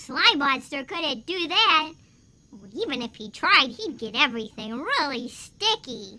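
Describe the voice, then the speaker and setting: A cartoonish character voice comes through at a high pitch and a fairly slow pace. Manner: earnest.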